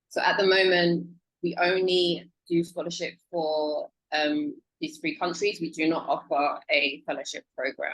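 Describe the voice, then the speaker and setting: The speaker has a strong British accent and talks at a moderate pace. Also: woman. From UK. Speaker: scholarship program officer. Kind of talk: presentation.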